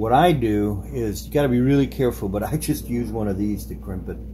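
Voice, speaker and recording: Audible room echo surrounds a man's voice. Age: 60s. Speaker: hobbyist doing bike repairs. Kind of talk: casual tutorial. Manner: casual, halting with fillers.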